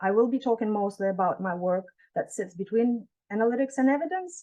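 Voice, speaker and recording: A woman's fairly high voice with lively intonation against a quiet background. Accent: non-native. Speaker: professor. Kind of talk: keynote lecture. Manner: fast.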